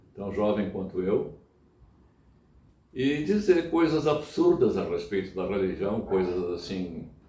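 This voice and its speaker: Very slowly and with long, frequent pauses, a man talks in a dark, mellow tone with very wide pitch swings and audible room echo. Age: 70s. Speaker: church member. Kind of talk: interview. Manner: halting.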